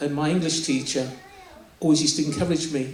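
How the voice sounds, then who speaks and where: There is audible room echo and noticeable background noise as a man talks at a fairly high pitch with ordinary pitch variation. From southern England (Bromley, Kent), Nigerian-born. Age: 60s. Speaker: poet. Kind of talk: interview. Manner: halting.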